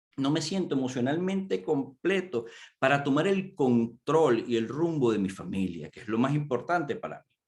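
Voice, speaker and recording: With very wide pitch swings, a man talks moderately fast in a fairly high voice. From Venezuela. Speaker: coach, conference speaker. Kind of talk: conference talk. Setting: virtual conference.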